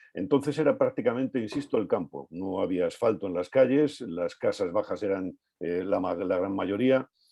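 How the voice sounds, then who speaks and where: Lively intonation marks a man's fairly low voice. He talks at a moderate pace with hardly any pauses. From Madrid, Spain (Vallecas). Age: 60s. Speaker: author. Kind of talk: book presentation talk. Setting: video call. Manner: hesitant, many filler sounds.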